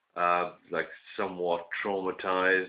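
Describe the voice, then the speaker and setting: A man speaks with a British accent in a very deep, low pitch. His intonation stays monotone and flat. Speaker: vlogger. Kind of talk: casual monologue. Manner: hesitant, many fillers.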